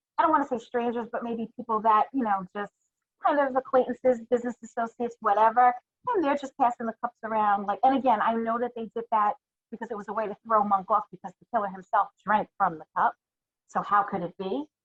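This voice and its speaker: A woman with a New York accent talks at a very fast pace and a fairly high pitch, using ordinary pitch variation. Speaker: listener co-host. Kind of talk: casual chat.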